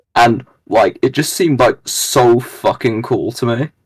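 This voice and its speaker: With a British accent, a man speaks at a moderate pace. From Britain. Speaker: gamer content creator. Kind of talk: casual chat. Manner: halting, many fillers.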